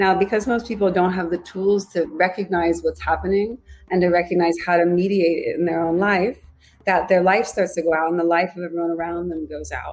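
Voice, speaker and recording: At a fairly quick pace and with fairly even intonation, this is a plain, everyday voice. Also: woman, fairly low pitch for a woman. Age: 40s. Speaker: yoga teacher. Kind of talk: casual chat.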